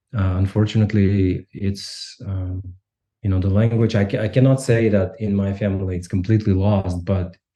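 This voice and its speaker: A man speaks at a moderate pace with a Russian accent, his fairly low voice dark, mellow and somewhat breathy, flat and monotone over a quiet background. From Kazakhstan, Almaty. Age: 40s. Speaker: sociology professor. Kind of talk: podcast interview. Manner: halting.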